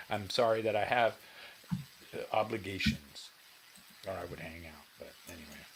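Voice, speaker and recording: Speaking at a moderate pace in a fairly low, somewhat breathy voice, a man takes long, frequent pauses, with ordinary pitch variation and big swings in loudness. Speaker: guitar livestream host. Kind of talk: casual livestream chat.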